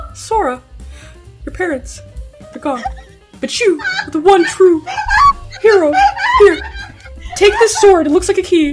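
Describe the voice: Faint music plays behind a squeaky, put-on character voice pitched extremely high at a moderate pace.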